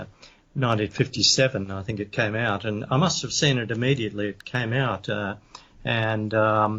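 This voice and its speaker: A man speaks with an Australian accent at a moderate pace. His pitch sits fairly low, and his intonation stays fairly even. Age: 70s. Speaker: author and paranormal investigator. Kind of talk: interview. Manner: halting, many fillers.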